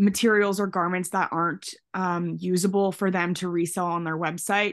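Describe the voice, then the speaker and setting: A woman with a Canadian accent has a normal speaking voice at a medium pitch, with fairly even intonation over a quiet background. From Canada. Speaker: hair stylist. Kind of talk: casual chat.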